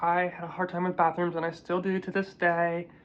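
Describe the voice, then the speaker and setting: This is a woman speaking. Her pitch is fairly low. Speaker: vlogger sharing personal transition experience. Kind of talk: casual advice monologue. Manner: casual, many fillers.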